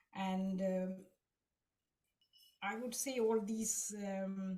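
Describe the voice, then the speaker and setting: The tone is dark and mellow, with a somewhat breathy quality. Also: woman. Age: 60s. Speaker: devotee sharing experience. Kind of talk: testimony. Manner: halting.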